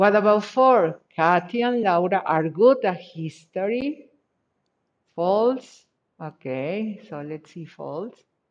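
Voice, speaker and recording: Speaking at a very slow pace with a Spanish accent, a woman uses a medium pitch, lively intonation and big swings in loudness. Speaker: English teacher. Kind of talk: online class.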